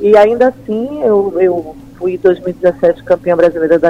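Her intonation moves in a lively way. The woman's tone is dark and mellow. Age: 50s. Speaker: amateur stand-up paddle champion. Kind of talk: interview. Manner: halting, many fillers.

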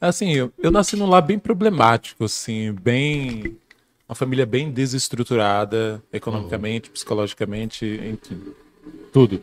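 Here is a man with a plain, everyday voice and a medium pitch. He talks at a moderate pace with lively intonation. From Bahia, Brazil. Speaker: guest speaker on philosophy. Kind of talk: casual podcast conversation.

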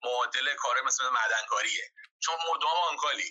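This man talks at a fairly slow pace. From Iran, Gilan (Talesh). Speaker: system administrator. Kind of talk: interview, casual chat.

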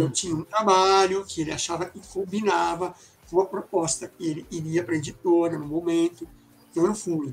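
A man with a high pitch talks at a moderate pace. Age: 60s. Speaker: illustrator and graphic designer. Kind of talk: casual interview chat. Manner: halting, many fillers.

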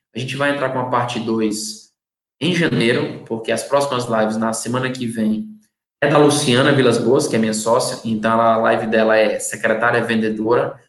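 Amid audible room echo, a man talks at a moderate pace with a medium pitch and fairly even intonation. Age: 30s. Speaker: marketing consultant. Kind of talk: live-streamed lecture.

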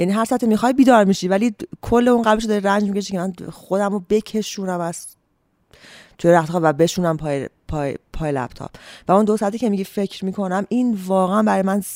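A woman of medium pitch talks at a very fast pace with ordinary pitch variation, in a dry, close sound with no echo. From Iran, Ahvaz. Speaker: novelist. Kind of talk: interview.

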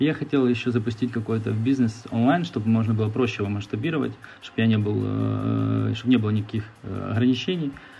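Very fast speech from a man at medium pitch, with ordinary pitch variation and music in the background. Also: very even loudness. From Ukraine. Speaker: entrepreneur. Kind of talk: interview. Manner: hesitant with fillers.

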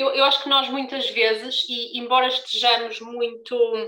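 This woman's tone is bright and sharp. Her intonation stays fairly even at a moderate pace. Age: 20s. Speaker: brand founder moderating a panel. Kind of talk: live panel discussion.

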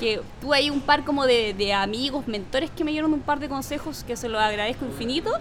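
With audible room echo and noticeable background noise, a woman speaks at a high pitch and a fairly quick pace with ordinary pitch variation. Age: 30s. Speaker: public policy and entrepreneurship specialist. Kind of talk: interview. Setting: coworking space.

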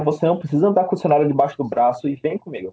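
His pitch sits fairly high. The man's intonation is lively. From São Paulo, Brazil. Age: 20s. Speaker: English teacher and IT student. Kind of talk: casual interview. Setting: video call. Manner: halting.

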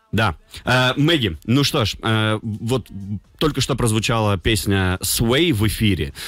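Here a man speaks at a medium pitch with lively intonation. His pace is very slow. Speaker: radio host. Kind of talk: morning radio show. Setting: studio. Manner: animated.

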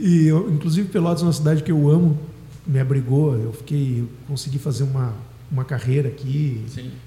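A man at a fairly quick pace, a plain, everyday voice with ordinary pitch variation. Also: fairly high pitch for a man. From southern Brazil, Dom Pedrito (Rio Grande do Sul). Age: 40s. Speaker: singer-songwriter and music teacher. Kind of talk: radio interview.

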